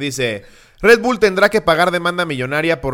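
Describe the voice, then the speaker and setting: A man's bright, sharp voice with lively intonation at a fairly quick pace, on a very clean recording with a silent background. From Mexico, State of Mexico. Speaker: comedy podcast host. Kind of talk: casual chat.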